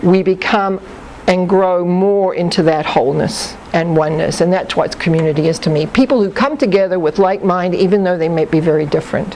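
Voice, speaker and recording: A woman's medium-pitched voice at a fairly quick pace, very even in loudness, over noticeable background noise. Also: ordinary pitch variation. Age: 60s. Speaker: psychic life consultant. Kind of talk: talk to audience.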